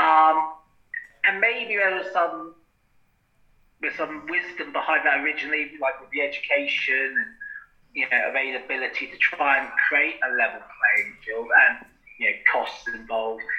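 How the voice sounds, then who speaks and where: A man with a British accent at a moderate pace, with long, frequent pauses and big swings in loudness. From Britain. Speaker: podcast co-host, bodybuilder. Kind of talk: casual chat.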